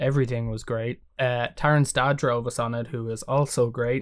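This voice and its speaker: On a very clean recording with a silent background, a man with an Irish accent talks at a moderate pace, his medium pitch showing ordinary variation. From Ireland. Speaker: musician. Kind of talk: casual chat.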